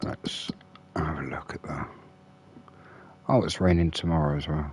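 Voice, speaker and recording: A man is whispering. He keeps a moderate pace. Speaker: gaming streamer. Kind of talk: live gameplay commentary. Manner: relaxed, hesitant with fillers.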